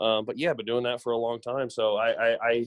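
This man has a plain, everyday voice with an American accent. He speaks at a moderate pace with ordinary pitch variation. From US South, Memphis, Tennessee. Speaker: social media ad agency partner. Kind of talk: casual interview chat.

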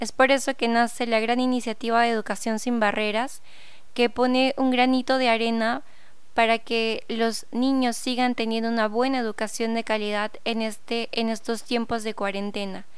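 Her intonation monotone and flat, a woman with a fairly high pitch and a Peruvian accent speaks at a moderate pace amid audible room echo. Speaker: podcast host and teacher. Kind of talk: podcast intro monologue.

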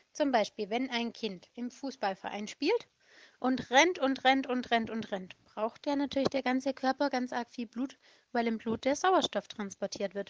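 In a warm tone and high pitch, a woman speaks with a dry, close sound that has no echo. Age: 30s. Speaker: children's home worker telling stories. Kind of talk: storytelling for children. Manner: warm, simple explanatory.

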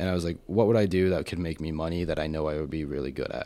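Heard on a very clean recording with a silent background, a man with an American accent speaks at a very deep, low pitch with fairly even intonation. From Colorado. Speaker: private chef. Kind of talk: casual interview chat.

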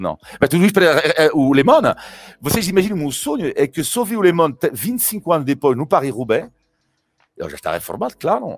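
With a French accent, a man speaks in an animated tone at a fairly quick pace, his pitch swinging very widely. Music plays in the background, and the sound is dry and close with no echo. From France. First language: French (speaking Portuguese). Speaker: cycling commentator. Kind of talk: casual chat. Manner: halting.

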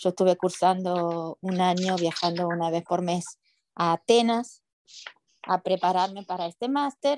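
A woman has a normal speaking voice at a medium pitch and a fairly slow pace, with ordinary pitch variation. The sound is dry and close, with no echo. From Argentina, Paraná (Entre Ríos). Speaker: immigration lawyer. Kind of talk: interview.

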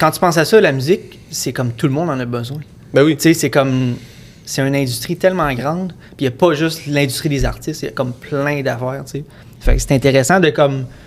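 A man with a Quebec accent, fairly high in pitch, with ordinary pitch variation and a fairly quick pace. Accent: Quebec French, Sorel. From Quebec, Sorel. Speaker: music producer. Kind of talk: casual chat.

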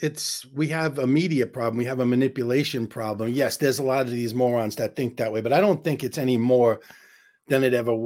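On a very clean recording with a silent background, a man with a New York accent talks at a fairly quick pace, medium in pitch with ordinary pitch variation. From New York, Queens. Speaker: comedian. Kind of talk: casual chat.

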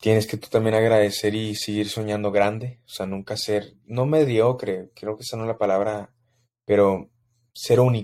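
With a Mexico City accent, a man speaks in a fairly low pitch, his tone dark and mellow and his intonation monotone and flat. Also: moderate pace. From Mexico City, Mexico. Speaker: podcast host. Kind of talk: casual solo monologue.

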